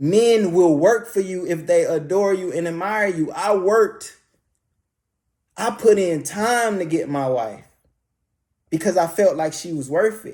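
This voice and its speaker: A man with a high pitch speaks at a fairly slow pace with ordinary pitch variation. Long, frequent pauses break up his speech in a very clean recording with a silent background. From US Midwest, Detroit inner city. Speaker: YouTuber. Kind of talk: motivational talk.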